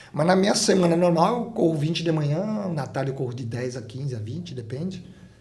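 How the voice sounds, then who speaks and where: In a room with audible echo, a man with a fairly high pitch speaks at a moderate pace with lively intonation. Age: 60s. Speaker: ultramarathon runner. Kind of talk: interview.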